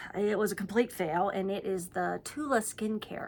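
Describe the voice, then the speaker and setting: In an American accent, a woman with a medium pitch speaks at a moderate pace. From Pittsburgh, US. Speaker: beauty and skincare YouTuber. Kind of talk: product review. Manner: casual, conversational with fillers.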